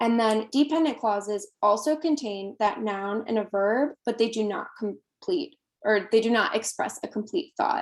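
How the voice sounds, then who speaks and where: With a plain, everyday voice, a woman talks at a moderate pace in a fairly high pitch, using lively intonation and hardly any pauses. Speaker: workshop presenter. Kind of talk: online workshop lecture.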